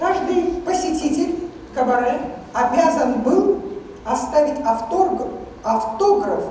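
With strong room echo and light background noise, a woman speaks very slowly at a high pitch, her intonation lively. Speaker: literary lecturer. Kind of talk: lecture to audience. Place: stage.

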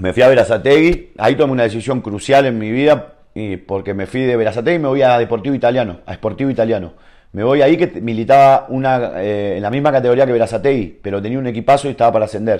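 Someone with an Argentine accent speaks at a very fast pace with hardly any pauses and ordinary pitch variation. The tone is dark and mellow over a quiet background. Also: man, medium pitch for a man. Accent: Rioplatense Argentine Spanish. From Argentina. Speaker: professional footballer; guest. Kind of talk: casual interview chat. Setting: at his home. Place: home room.

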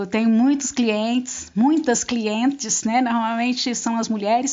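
A woman with a normal speaking voice, fairly high pitch, ordinary pitch variation and a moderate pace. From Brazil, northern interior of Goiás. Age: 50s. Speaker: handywoman. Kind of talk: interview.

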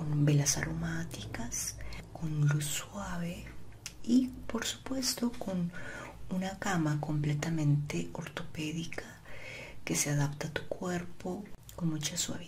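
Over noticeable background noise, a soft-spoken woman whispers in a calm tone. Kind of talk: ASMR role-play, soft spoken. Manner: soft ASMR whisper, slow and calm.

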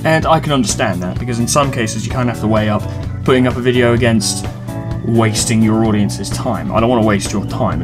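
A man with a British accent talks at a very fast pace, his medium pitch showing ordinary variation. Clear music plays in the background. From England. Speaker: let's player, video maker. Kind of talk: casual talk to camera. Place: home room. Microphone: webcam.

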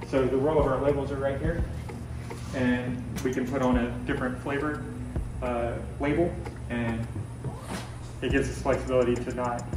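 There is clear music in the background and audible room echo. A man speaks over it at a moderate pace. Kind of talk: tour explanation. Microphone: camera far.

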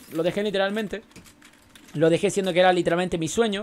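A man speaks with a Chilean accent on a very clean recording with a silent background. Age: 20s. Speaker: gaming streamer. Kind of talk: casual chat. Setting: live stream.

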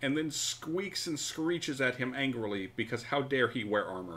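Very wide pitch swings mark a man's medium-pitched voice. His tone is bright and sharp, at a moderate pace. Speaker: game master. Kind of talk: tabletop RPG session, casual banter and narration. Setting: online stream. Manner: animated, jokey, laughs often.

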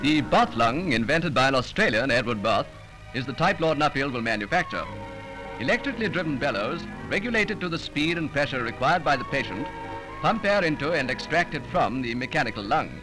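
Over clear background music, a man talks at a fairly quick pace, his fairly high pitch swinging very widely. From England. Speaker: newsreel narrator. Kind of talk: newsreel narration. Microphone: old recording.

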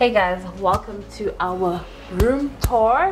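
Faint music plays behind a woman whose pitch rises and falls in an ordinary way. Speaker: vlogger. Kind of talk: casual vlog chat, room tour. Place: home room. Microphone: phone near.

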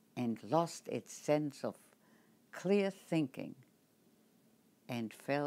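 The pace is very slow. It is a woman talking. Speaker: Holocaust survivor and author. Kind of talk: prepared address; earnest personal address. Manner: halting. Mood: earnest, solemn warning. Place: home room. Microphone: webcam.

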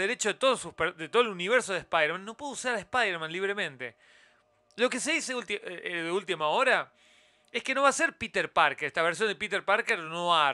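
In a raised, projected voice, a man speaks at a moderate pace with a high pitch, a bright, sharp tone and very wide pitch swings, the sound dry and close with no echo on a very clean recording with a silent background. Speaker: YouTube news commentator. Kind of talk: solo news roundup commentary. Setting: live stream with chat.

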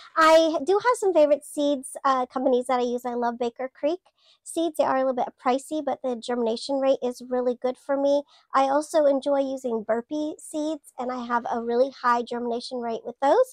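A woman's squeaky, high voice at a fairly quick pace, with ordinary pitch variation, a dry sound with no echo and a quiet background. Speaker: gardener. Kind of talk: casual talk to camera. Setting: greenhouse. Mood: warm, friendly. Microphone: lapel.

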